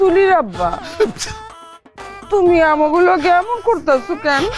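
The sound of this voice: Put-on character voice from a woman, extremely high in pitch with big pitch swings, at a fairly slow pace over faint music in the background.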